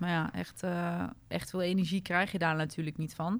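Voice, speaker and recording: A woman's monotone, flat delivery in a very clean recording with a silent background. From Netherlands, Apeldoorn (Gelderland). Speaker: equestrian event director. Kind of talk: interview. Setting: in person at event venue.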